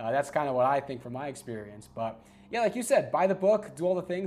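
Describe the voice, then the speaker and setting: The speaker uses lively intonation in a New York accent. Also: man. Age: 30s. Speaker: sportscaster. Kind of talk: casual chat.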